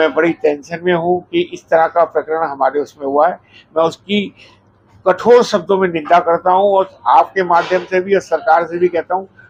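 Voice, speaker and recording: With fairly even intonation, a man talks in a high register. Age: 70s. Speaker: restaurant owner. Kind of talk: media statement.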